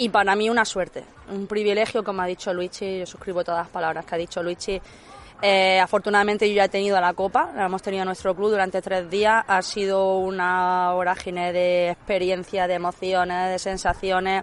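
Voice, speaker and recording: A woman at a medium pitch talks at a fairly quick pace with monotone, flat intonation. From Granada, Spain. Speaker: golf club ambassador. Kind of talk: casual interview.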